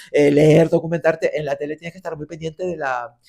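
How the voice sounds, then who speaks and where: With a Canarian accent, a man talks at a very fast pace in a fairly high pitch with ordinary pitch variation. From Canary Islands. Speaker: radio and TV presenter. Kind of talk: interview answer.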